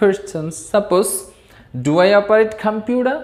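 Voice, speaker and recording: With a Bangladeshi accent, a woman speaks in lively intonation, and audible room echo surrounds her voice. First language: Bengali. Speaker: English teacher. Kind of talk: lecture. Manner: careful pronunciation.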